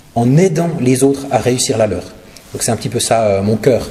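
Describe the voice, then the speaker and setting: The speech comes at a fairly quick pace amid noticeable background noise and audible room echo. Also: man. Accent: slight Swiss French. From Switzerland, Neuchâtel region. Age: 40s. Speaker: pastor and charity speaker. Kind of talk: sermon and charity presentation. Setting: church. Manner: hesitant, many filler sounds.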